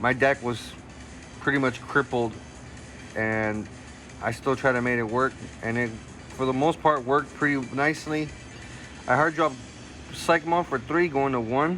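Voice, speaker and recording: A man at a medium pitch with ordinary pitch variation, a moderate pace and long, frequent pauses, with music in the background. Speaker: card game content creator. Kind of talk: gameplay commentary narration. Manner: casual; halting, self-correcting.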